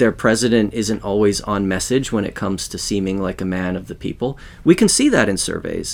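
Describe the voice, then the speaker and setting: A man's plain, everyday voice in a Canadian accent, fairly low in pitch, fairly quick, with fairly even intonation. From Western Canada. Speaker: sociology professor. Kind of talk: interview.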